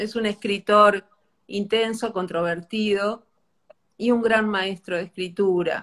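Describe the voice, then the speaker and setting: A woman speaks at a very slow pace with monotone, flat intonation. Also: medium pitch for a woman. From Argentina, small inland town. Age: 50s. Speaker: bookshop owner. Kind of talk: casual chat. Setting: Instagram live.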